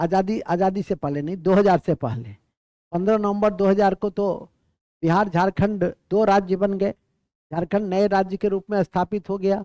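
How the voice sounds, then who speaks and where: Recorded dry and close with no echo, a man speaks in a high pitch with a dark, mellow tone and fairly even intonation. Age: 70s. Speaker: exam coaching teacher. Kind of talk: classroom lecture. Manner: repetitive, dictating.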